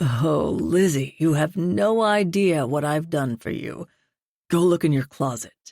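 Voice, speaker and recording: A man puts on a character voice with fairly high pitch and lively intonation, speaking at a fairly slow pace. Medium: read story. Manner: smooth, calmly controlling.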